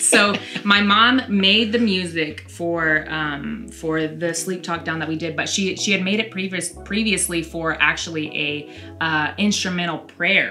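A woman's fairly low voice at a fairly slow pace, with ordinary pitch variation and faint background music. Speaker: videographer. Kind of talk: casual conversation. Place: studio.

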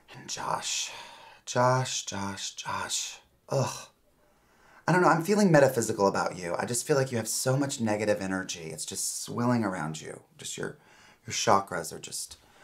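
Very wide pitch swings and big swings in loudness mark a man's speech at a moderate pace. The background is quiet. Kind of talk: scripted comedic dialogue, lecturing. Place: office.

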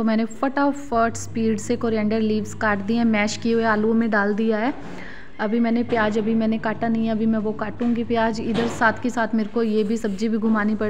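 Noticeable background noise sits behind a woman talking at a moderate pace with hardly any pauses. Her loudness stays very even and her intonation is monotone and flat. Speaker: home vlogger. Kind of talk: casual vlog chat. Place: kitchen.

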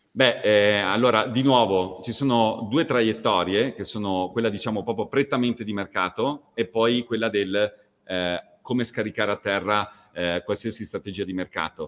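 A man talks in a normal speaking voice at a fairly low pitch. His pace is moderate and his intonation fairly even. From northern Italy, near Verona; northern Italy. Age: 40s. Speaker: fashion company executive; guest. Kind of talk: interview. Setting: video call. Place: home room.

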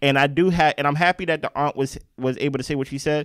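Animated in tone, a man speaks at a fairly quick pace with a fairly high pitch. The background is quiet, and the sound is dry with no echo. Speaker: podcast co-host reviewing reality TV. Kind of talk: casual chat. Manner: loud. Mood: critical, teasing. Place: home room. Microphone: handheld.

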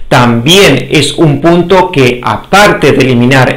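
The man speaks at a fairly slow pace. The background is quiet. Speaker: health educator. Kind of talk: lecture.

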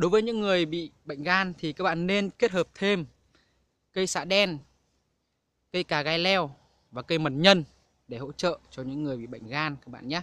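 A man speaks at a moderate pace with a fairly high pitch. His tone is fairly bright, and his pitch varies in an ordinary way.

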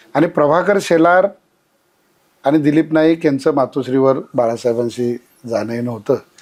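A man speaks at a fairly high pitch with ordinary pitch variation and very even loudness. It is an unremarkable speaking voice. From Maharashtra, rural Kolhapur district. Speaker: regional party organizer. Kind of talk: interview reminiscence.

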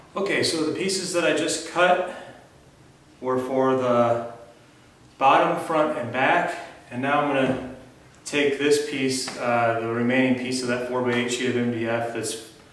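Amid audible room echo and light background noise, a man speaks at a fairly slow pace with ordinary pitch variation and long, frequent pauses. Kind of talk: tutorial. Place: garage. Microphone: camera far.

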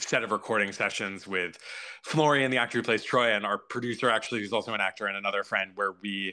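A man's fairly low voice at a fairly quick pace, with ordinary pitch variation and a quiet background. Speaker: guest. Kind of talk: interview answer. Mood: amused, candid, laughing. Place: home room. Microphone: video call.

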